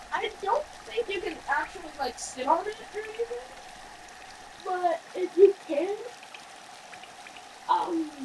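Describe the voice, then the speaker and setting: A woman at a fairly slow pace, lively intonation, noticeable background noise behind her. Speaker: gaming video creator. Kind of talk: gameplay commentary. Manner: casual, filler-heavy; halting, self-admitted stutter.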